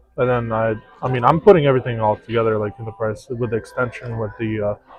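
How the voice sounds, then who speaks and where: A man at medium pitch with monotone, flat intonation and a fairly quick pace, music in the background. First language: not English. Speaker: pool stream commentator. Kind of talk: casual chat. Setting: pool hall.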